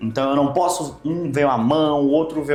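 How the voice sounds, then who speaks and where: Speaking with a slight Maranhão accent, a man with a fairly high pitch talks at a moderate pace with ordinary pitch variation, and the room adds an audible echo. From Brazil, Maranhão. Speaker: nutrition doctor. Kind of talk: interview.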